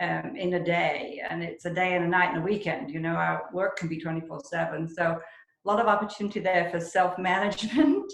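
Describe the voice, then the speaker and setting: A woman speaks at a fairly quick pace with a fairly low pitch and ordinary pitch variation, and audible room echo surrounds her voice. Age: 60s. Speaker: real estate agent. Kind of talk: interview.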